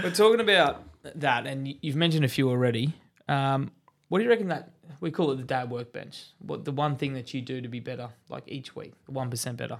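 A man with an Australian accent, fairly high-pitched, with lively intonation, a fairly quick pace and big swings in loudness. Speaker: podcast host. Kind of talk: casual chat. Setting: studio.

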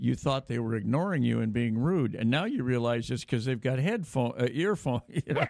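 A man speaks at a medium pitch and a fairly quick pace, with hardly any pauses. His loudness is very even, his pitch varies in an ordinary way, and background noise is noticeable. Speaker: radio host. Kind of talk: radio interview. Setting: studio.

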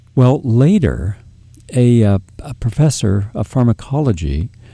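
Lively intonation runs through a tone that is dark and mellow. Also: man. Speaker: radio host. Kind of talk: interview discussion.

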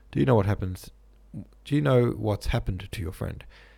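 Using a put-on character voice, a man growls at a fairly quick pace, his fairly low-pitched, dark, mellow tone carrying vocal fry and a slightly husky edge. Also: ordinary pitch variation.

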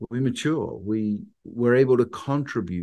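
In an English accent, a speaker with a dark, mellow tone talks at a moderate pace with lively intonation against a quiet background. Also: man. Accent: English accent, sounds foreign in the US. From England. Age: 50s. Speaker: pastor and wedding officiant. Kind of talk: interview.

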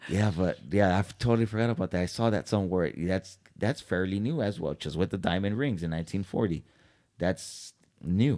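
In a very clean recording with a silent background, a man speaks at a moderate pace in a very deep, low voice with a dark, mellow tone and ordinary pitch variation. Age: 30s. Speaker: podcast co-host. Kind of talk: casual chat.

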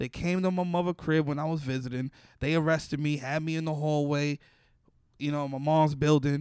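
A New York accent at a fairly quick pace, with a dry, close sound with no echo and a very clean recording over a silent background. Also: man. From Bronx, New York. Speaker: comedian. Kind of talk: casual chat. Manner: animated.

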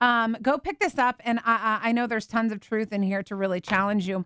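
Loud, very fast speech in a dry, close recording with no echo. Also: woman. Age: 40s. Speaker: radio host. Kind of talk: radio interview. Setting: radio studio.

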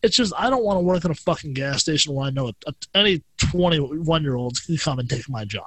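An ordinary speaking voice at a fairly quick pace, with lively intonation. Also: man, fairly high pitch for a man. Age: 20s. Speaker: podcast guest. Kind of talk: casual chat.

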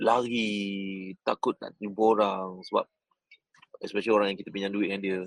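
Delivery comes at a moderate pace. Loudness swings widely throughout. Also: man, fairly low pitch for a man, dry, close sound with no echo. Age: 40s. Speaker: business coach. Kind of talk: motivational talk. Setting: airport lounge. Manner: animated.

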